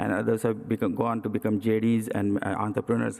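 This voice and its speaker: This man has an Indian accent and a medium pitch. He talks at a fairly quick pace with flat, monotone intonation. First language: Indian language. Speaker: cardiac surgeon. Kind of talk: presidential address. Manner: hesitant with many fillers.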